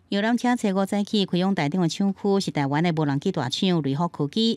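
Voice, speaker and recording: A woman with a Taiwanese accent speaks at a fairly quick pace with a medium pitch and lively intonation. The recording is very clean, with a silent background. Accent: Taiwanese Hokkien. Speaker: news reporter. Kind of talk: news report narration.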